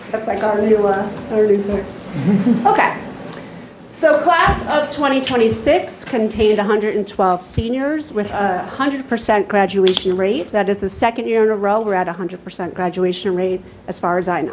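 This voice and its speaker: A woman speaks at a moderate pace and medium pitch with lively intonation, over noticeable background noise. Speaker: school counselor presenting to board. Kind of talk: formal presentation. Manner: loud.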